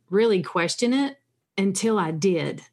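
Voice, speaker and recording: A woman speaks fairly slowly at medium pitch against a quiet background, an unremarkable speaking voice. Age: 40s. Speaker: sobriety coach and podcast host. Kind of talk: interview.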